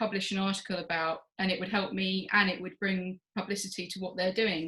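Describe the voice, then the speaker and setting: At a moderate pace, a woman with an English accent speaks in a bright, sharp tone. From England. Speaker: journal editor, former PhD researcher. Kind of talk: interview.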